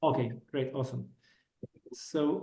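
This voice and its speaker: A man with a non-native accent at a fairly slow pace, ordinary pitch variation, and audible room echo. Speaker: telecom engineer turned businessman, meetup speaker. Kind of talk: technical talk. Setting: meetup with live and online audience. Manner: halting, with many fillers.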